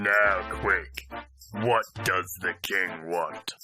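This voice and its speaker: Putting on a cartoonish character voice, a man sounds raspy at a fairly low pitch. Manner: gruff, impatient.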